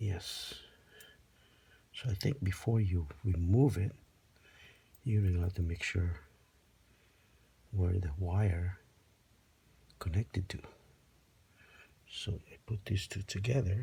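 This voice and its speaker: A man's very deep, low voice, dark and mellow and somewhat breathy, at a very slow pace with long, frequent pauses and ordinary pitch variation. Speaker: DIY video maker. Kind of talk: tutorial.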